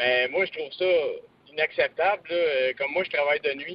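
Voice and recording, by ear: A man at a fairly high pitch and a moderate pace, with ordinary pitch variation and a dry, close sound with no echo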